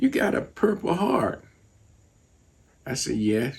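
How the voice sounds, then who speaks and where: Noticeable background noise surrounds the recording. A man speaks at a moderate pace. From United States. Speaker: artist and teacher, Vietnam veteran. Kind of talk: interview answer.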